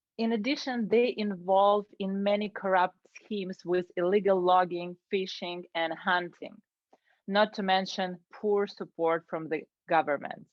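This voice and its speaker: A woman with a Ukrainian accent at a fairly slow pace. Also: medium pitch for a woman, fairly even intonation. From Ukraine. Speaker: Toastmasters club member. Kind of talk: prepared speech.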